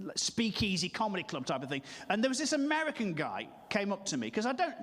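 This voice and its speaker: A man talks at a fairly quick pace. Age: 40s. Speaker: stand-up comedian. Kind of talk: stand-up.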